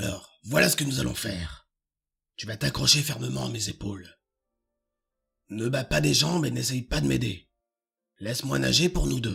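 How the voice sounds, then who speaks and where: A man doing a put-on character voice speaks in a raspy, fairly low register at a moderate pace, with very wide pitch swings and long, frequent pauses. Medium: read story. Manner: calm, low-voiced.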